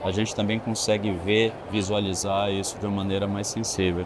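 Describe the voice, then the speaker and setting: A man with a fairly low pitch talks at a moderate pace in a monotone, flat intonation, with noticeable background noise. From Bahia, Brazil (Itabuna), moved to Brasília at 17. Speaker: architect. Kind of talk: interview conversation. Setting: trade fair venue.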